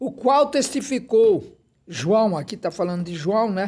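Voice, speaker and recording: At a very slow pace, a man with a dark, mellow tone speaks with lively intonation on a very clean recording with a silent background. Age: 80s+. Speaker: preacher. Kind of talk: sermon.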